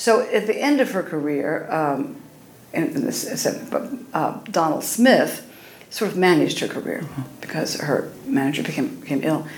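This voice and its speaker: Amid noticeable background noise and audible room echo, a woman of medium pitch speaks at a fairly slow pace, her pitch swinging very widely. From Oklahoma. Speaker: cabaret singer. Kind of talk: interview.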